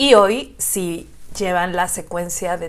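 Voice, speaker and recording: A woman at medium pitch with a Mexican accent. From Xalapa, Veracruz, Mexico. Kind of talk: casual reaction video talk to camera.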